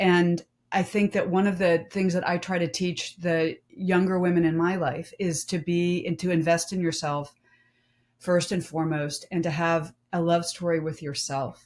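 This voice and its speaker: Fairly level intonation at a medium speed from an ordinary speaking voice. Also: woman, fairly low pitch for a woman. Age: 50s. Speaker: domestic violence survivor and author. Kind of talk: panel discussion.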